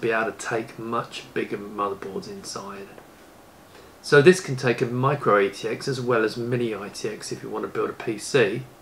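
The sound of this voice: Amid audible room echo, a man with a fairly bright tone talks at a moderate pace and medium pitch, his pitch varying in an ordinary way.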